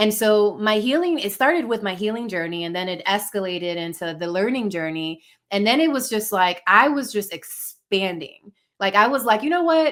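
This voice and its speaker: With very wide pitch swings, a woman speaks at a medium pitch in a Spanish accent. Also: moderate pace. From Dominican-American. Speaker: life coach, podcast guest. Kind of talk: personal storytelling interview. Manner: conversational, filler-heavy.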